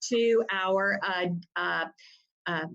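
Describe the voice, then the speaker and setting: With an American accent, a woman speaks with fairly even intonation. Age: 60s. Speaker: family rights attorney. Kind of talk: interview.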